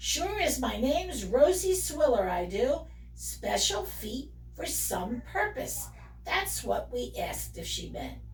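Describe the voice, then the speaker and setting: A woman speaks in a put-on character voice at a fairly slow pace. Background noise is clearly audible. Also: big swings in loudness. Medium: read story.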